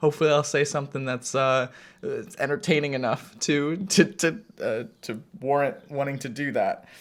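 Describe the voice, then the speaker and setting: A man at a fairly high pitch with ordinary pitch variation, a moderate pace, and a very clean recording with a silent background. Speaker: vlogger. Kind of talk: casual monologue to camera. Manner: halting, many fillers and restarts.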